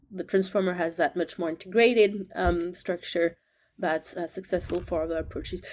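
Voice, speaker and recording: A woman's fairly low voice in a French accent, at a moderate pace, with fairly even intonation. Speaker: neuroscience professor. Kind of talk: interview conversation. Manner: hesitant, many fillers.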